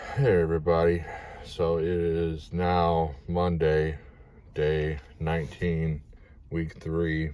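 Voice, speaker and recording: A man speaks at a very slow pace with a very deep, low pitch and a dark, mellow tone, leaving long, frequent pauses. His intonation is fairly even, and audible room echo surrounds the voice. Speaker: vlogger documenting dental treatment. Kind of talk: personal video diary.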